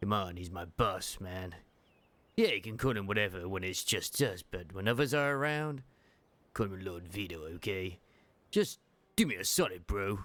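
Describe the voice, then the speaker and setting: A man puts on a character voice. He speaks at a moderate pace in a fairly low pitch. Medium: game stream. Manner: cocky, casual slang.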